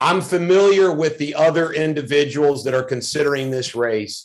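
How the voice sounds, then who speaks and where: A man with a normal speaking voice talks at a moderate pace, his fairly high pitch showing ordinary variation. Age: 50s. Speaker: political candidate. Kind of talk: interview.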